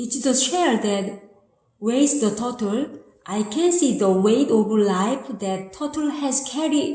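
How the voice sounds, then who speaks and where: Speaking very slowly with a Korean accent, this voice has lively intonation and audible room echo. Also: woman. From South Korea. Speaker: amateur writer. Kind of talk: reading aloud of own essay. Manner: halting.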